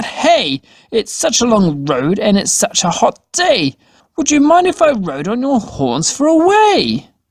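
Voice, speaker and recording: This is a put-on character voice at a fairly high pitch. It swings very widely in pitch. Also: fairly slow pace. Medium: read story.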